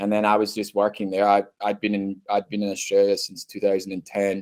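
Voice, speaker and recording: A man talks with a Scottish accent. His pace is fairly quick. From Scotland. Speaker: university international recruitment head. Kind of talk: podcast interview. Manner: casual, filler-heavy.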